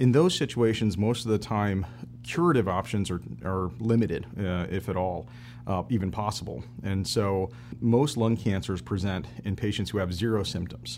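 Speaking with an American accent, a man with a fairly low pitch makes very wide pitch swings. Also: moderate pace. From Michigan, US Midwest. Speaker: thoracic surgeon. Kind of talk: interview, expert explanation. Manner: measured, some fillers.

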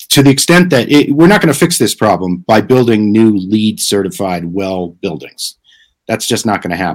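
His voice sits fairly low for a man, yet his pitch swings very widely. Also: moderate pace. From New Jersey (Clifton). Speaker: author and impact investment strategist. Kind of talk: live stream interview.

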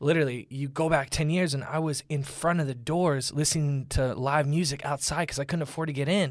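In a very clean recording with no background sound, a man with an American accent speaks fairly quickly at a fairly high pitch. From Orlando, Florida. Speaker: musician. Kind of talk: casual interview chat. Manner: animated.

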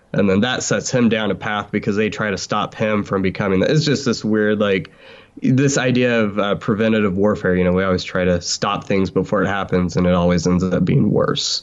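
This man has an ordinary speaking voice with a fairly low pitch and ordinary pitch variation. He talks at a fairly quick pace with very even loudness. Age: 20s. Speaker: podcaster and fan. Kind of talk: casual chat.

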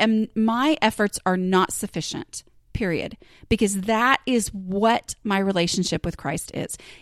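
A woman speaks at a fairly high pitch with an American accent. The recording sounds dry and close, with no echo. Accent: Southern US, gets stronger on some topics. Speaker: podcast host and blogger. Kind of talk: casual solo monologue. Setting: home recording. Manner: conversational with fillers and laughs.

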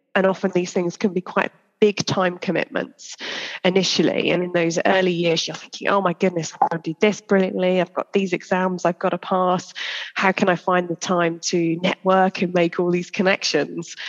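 The intonation is monotone and flat. The sound is dry and close, with no echo. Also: woman, medium pitch for a woman, moderate pace. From England, Shropshire. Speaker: senior investment banker. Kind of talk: interview conversation. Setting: recorded in London.

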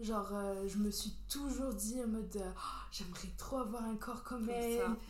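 A woman speaks at a fairly high pitch in a monotone, flat intonation, with audible room echo. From Algeria, Béjaïa. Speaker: podcast guest. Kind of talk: casual chat.

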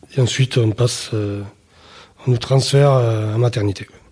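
A man talks at a very slow pace and a medium pitch with fairly even intonation. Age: 30s. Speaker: father telling his story. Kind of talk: testimony. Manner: reserved, opens up gradually.

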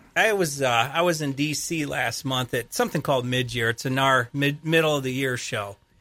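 A man with an American accent, fairly high-pitched, bright and sharp in tone, fairly quick with hardly any pauses, in a very clean recording with a silent background. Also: ordinary pitch variation. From Michigan. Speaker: real estate services account executive. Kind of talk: radio interview. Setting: studio.

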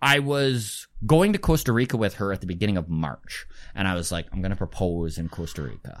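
In a Canadian prairie accent, a man with a fairly low voice talks at a fairly quick pace with very wide pitch swings, on a very clean recording with a silent background. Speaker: comedian. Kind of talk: casual chat.

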